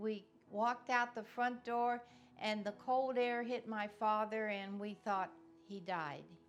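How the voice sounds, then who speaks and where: A fairly slow, fairly high-pitched woman's voice in a monotone, flat intonation, with music in the background. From Cincinnati, Ohio. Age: 80s+. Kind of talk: oral history interview answer.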